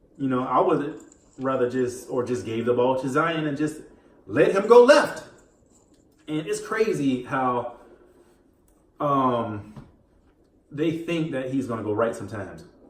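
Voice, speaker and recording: A man speaks at a fairly slow pace and medium pitch, with ordinary pitch variation. Long, frequent pauses break up his words, and room echo is audible. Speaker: gaming and sports commentary YouTuber. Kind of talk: casual commentary while gaming. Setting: home recording while playing video game. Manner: mumbling; distracted, halting with fillers.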